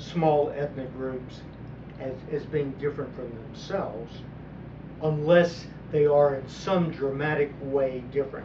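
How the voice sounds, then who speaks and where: A man with an American accent speaks very slowly at a fairly high pitch, keeping his intonation fairly even. Audible room echo and noticeable background noise fill the recording. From US South, southeast Texas (Port Arthur). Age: 70s. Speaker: political commentator. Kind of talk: monologue commentary. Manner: halting, repeats words.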